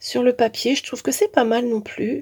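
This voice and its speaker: A woman speaks slowly-ish, at a fairly slow pace, with a high pitch. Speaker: crafting youtuber. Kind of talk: tutorial. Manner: hesitant with many fillers.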